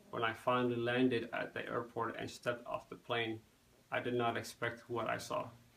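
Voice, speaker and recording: Over noticeable background noise, a man speaks in a monotone with flat intonation. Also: medium pitch for a man, moderate pace. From Somali-born, raised in the United States. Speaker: student. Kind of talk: class speech. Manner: halting, frequent self-corrections.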